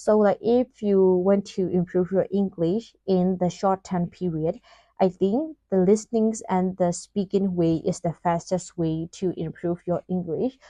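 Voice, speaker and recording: A woman with a Burmese accent, medium in pitch, dark and mellow in tone, with fairly even intonation at a fairly slow pace, in a dry, close sound with no echo. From Myanmar. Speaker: vlogger. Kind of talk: casual vlog talk. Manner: hesitant, many fillers.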